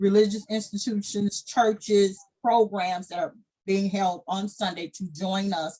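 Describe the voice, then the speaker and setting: Somewhat breathy, a woman with an American accent speaks at a fairly slow pace and with fairly even intonation. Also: medium pitch for a woman. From US South, Arkansas Delta. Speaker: founder and director of a descendants' organization. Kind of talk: casual chat.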